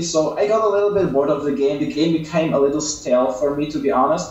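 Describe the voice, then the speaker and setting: A man talks at a fairly quick pace and fairly high pitch with ordinary pitch variation. Audible room echo and noticeable background noise are present. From Belgium, West Flanders. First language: Dutch (West Flemish dialect). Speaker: mobile game YouTuber. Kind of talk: interview.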